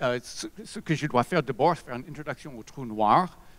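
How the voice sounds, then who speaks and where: Medium-pitched male voice at a moderate pace, lively intonation, dry, close sound with no echo. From USA. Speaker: physicist. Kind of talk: lecture. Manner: halting.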